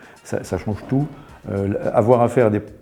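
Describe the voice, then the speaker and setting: With music in the background, the speech moves at a fairly slow pace with fairly even intonation. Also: man. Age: 60s. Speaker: company founder, entrepreneur. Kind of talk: interview. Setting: studio. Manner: halting, many fillers and repetitions.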